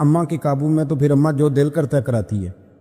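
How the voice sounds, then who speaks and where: Music plays behind a man whose fairly high pitch shows ordinary variation. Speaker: Islamic preacher giving a bayan. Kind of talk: Islamic sermon (bayan) with storytelling.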